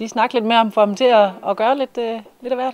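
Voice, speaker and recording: A woman speaks with a fairly high pitch. The sound is dry, with no echo. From Denmark. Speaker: TV host; TV show host. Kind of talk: casual interview. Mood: cheerful, smiling.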